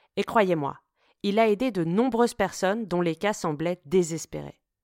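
A woman speaks at a fairly low pitch in a dry, close sound with no echo, on a very clean recording with a silent background. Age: 40s. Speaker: podcast host. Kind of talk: scripted narration.

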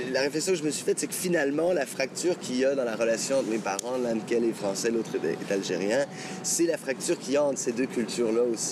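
Over noticeable background noise, the speaker goes at a very fast pace with ordinary pitch variation. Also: man, medium pitch for a man. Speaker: singer-songwriter. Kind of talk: interview. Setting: outdoors. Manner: halting.

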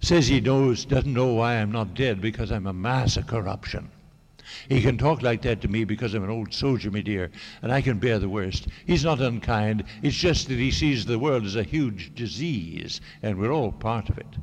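This man has an unremarkable speaking voice, pitched in the medium range. He moves at a moderate speed, his pitch shifting in an ordinary way. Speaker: novelist. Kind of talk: reading aloud. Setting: stage with audience.

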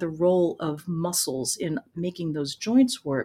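With an American accent, a woman speaks at a medium pitch in a somewhat breathy voice. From United States. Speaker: voice teacher and author. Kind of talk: interview.

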